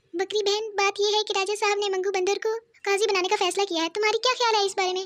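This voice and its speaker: A cartoonish character voice, female-sounding and extremely high, stays in a monotone, flat intonation. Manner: chatty, fawning.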